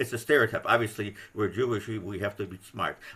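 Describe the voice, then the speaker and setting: A man is talking. The tone comes across bright and sharp. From Poland. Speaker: audience member. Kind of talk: discussion. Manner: halting.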